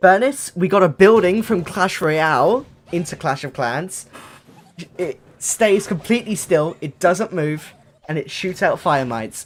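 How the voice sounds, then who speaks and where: Music plays behind a man with a high voice. He speaks at a fairly slow pace with lively intonation. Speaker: gaming content creator. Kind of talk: casual gameplay commentary. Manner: loud; animated.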